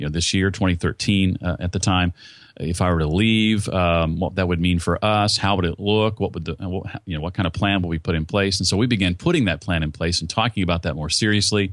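Over a quiet background, a man with a very deep, low pitch speaks at a fairly quick pace with fairly even intonation and hardly any pauses. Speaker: broadcaster and podcast coach. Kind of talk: interview.

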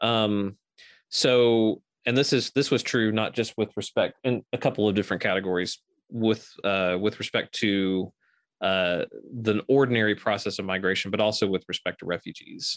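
A man's fairly low, plain, everyday voice at a moderate pace and very even loudness, in a very clean recording with a silent background and a dry, close sound free of echo. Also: fairly even intonation. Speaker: theology professor. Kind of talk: interview.

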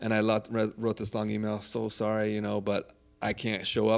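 On a very clean recording with a silent background, a man with an American accent and a fairly low pitch speaks at a fairly quick pace. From Southern California, Orange County. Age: 40s. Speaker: pizza chef and food truck owner. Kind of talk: casual interview.

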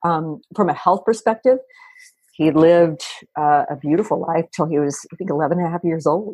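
This woman has an ordinary speaking voice, pitched fairly low, with ordinary pitch variation at a moderate pace. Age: 50s. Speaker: dog fitness franchise founder. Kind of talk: interview.

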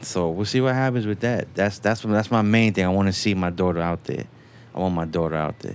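A man with an American accent uses an ordinary speaking voice, fairly low in pitch with ordinary pitch variation, at a fairly quick pace. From New York. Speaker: recording engineer. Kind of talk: casual chat.

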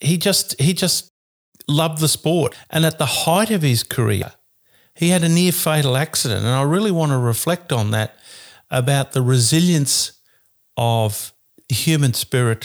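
In an Australian accent, the speaker uses lively intonation at very even loudness on a very clean recording with a silent background. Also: man, fairly high pitch for a man, moderate pace. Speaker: sports commentator. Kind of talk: casual chat.

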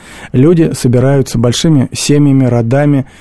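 Speaking at a moderate pace, a man with a dark, mellow tone keeps his intonation fairly even. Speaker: lawyer. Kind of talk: radio studio discussion. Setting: studio.

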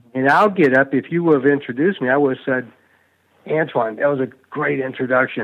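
A man speaks at a medium pitch with ordinary pitch variation. He has an unremarkable speaking voice. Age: 60s. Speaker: public speaking coach and author. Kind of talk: interview. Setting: podcast interview.

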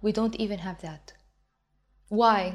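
In an Arabic accent, a woman speaks at a medium pitch with ordinary pitch variation. The recording is very clean, with a silent background. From Egypt. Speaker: belly dance teacher. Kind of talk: interview.

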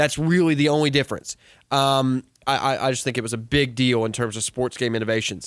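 A man of medium pitch talks at a fairly quick pace. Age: 30s. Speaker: gamer guest. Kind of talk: casual chat. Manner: animated.

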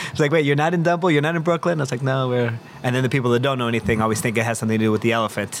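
Noticeable background noise sits under this recording. A man speaks very fast at a medium pitch with ordinary pitch variation. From Mexico City. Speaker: chef and restaurant owner. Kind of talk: casual chat.

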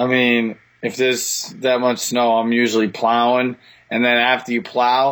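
A man with a Boston accent and a medium pitch. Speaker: motocross track operator. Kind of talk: casual chat. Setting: remote call.

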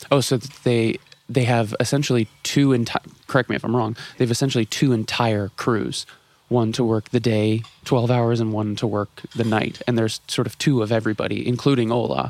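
This is a plain, everyday voice with fairly even intonation. It moves at a fairly quick pace. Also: man, medium pitch for a man. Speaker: video creator and minister. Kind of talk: casual chat. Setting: airport lounge, shared microphones.

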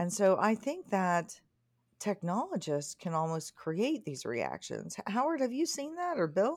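On a very clean recording with a silent background, a woman talks fairly slowly at a medium pitch, with very wide pitch swings. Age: 40s. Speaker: MRI technologist. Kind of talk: educational discussion.

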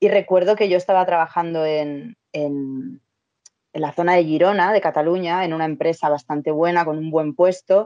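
In a Madrid accent, a woman speaks at a moderate pace and fairly low pitch, with a dark, mellow tone and ordinary pitch variation. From Spain, Madrid. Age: 30s. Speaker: travel content creator and entrepreneur. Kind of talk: interview, casual chat.

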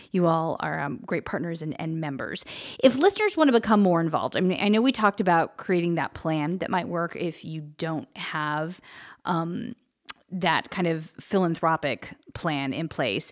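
In a very clean recording with a silent background, a woman with a plain, everyday voice speaks at a moderate pace, fairly low in pitch, with lively intonation. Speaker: podcast host. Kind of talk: interview conversation. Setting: studio.

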